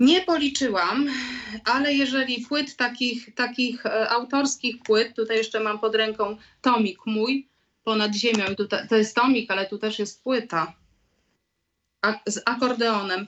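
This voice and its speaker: Using a normal speaking voice, a woman with fairly high pitch talks at a fairly slow pace with ordinary pitch variation. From Poland, Lublin. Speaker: singer-songwriter. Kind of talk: radio interview.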